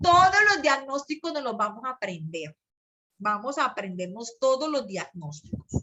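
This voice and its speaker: An animated, high-pitched female voice with very wide pitch swings and a fairly slow pace. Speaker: psychology teacher. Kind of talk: online class lecture.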